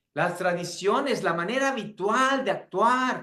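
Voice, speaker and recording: A man's raised, projected voice, bright and sharp in tone, with lively intonation. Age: 60s. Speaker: pastor and seminary teacher. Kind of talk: lecture.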